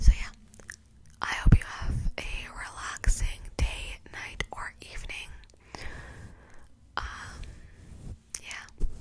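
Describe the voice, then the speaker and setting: Someone whispers at a very slow pace, with long, frequent pauses. Noticeable background noise is present. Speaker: ASMR true crime youtuber. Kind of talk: whispered ASMR true crime storytelling. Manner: whispering; casual with fillers.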